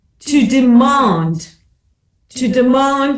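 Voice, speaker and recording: A woman with a South African accent speaks with ordinary pitch variation. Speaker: commentator and broadcaster. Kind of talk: panel discussion. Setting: webinar.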